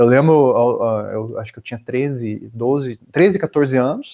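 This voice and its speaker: A man's voice against a quiet background. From Brazil, Curitiba region (Paraná); Paraná, Brazil. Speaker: software developer and entrepreneur; podcast guest. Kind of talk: interview conversation. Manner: halting, many filler words. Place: home room. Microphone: earbuds.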